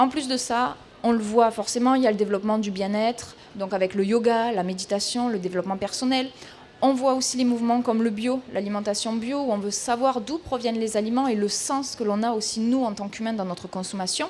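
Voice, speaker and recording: Over noticeable background noise, a woman speaks with a southern French accent. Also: fairly high pitch for a woman, fairly even intonation, fairly quick pace. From southern France. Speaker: equestrian consultant, speaker. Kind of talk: talk at a trade fair.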